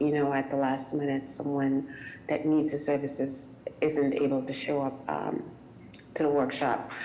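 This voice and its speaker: A woman with a West Indian accent speaks in a very deep, low monotone at a moderate pace, with noticeable background noise and audible room echo. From West Indies. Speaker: small business owner. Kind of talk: public meeting comment. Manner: hesitant, many fillers.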